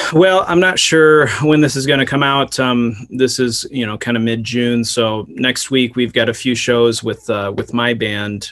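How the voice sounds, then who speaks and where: A man with an American accent talks at a medium pitch with ordinary pitch variation, at a fairly slow pace with hardly any pauses. Noticeable background noise runs under his voice. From Iowa, US Midwest. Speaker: singer-songwriter and teacher. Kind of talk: interview. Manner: halting, many fillers.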